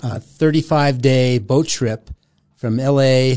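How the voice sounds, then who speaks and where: Fairly even in intonation, a man with an American accent speaks at a medium pitch in a dark, mellow tone. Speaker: former Jesus movement figure. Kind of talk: testimony. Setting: studio.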